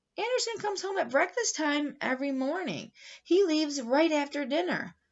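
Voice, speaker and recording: In a put-on character voice, a woman speaks at a high pitch and a fairly quick pace. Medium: read story. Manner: matter-of-fact.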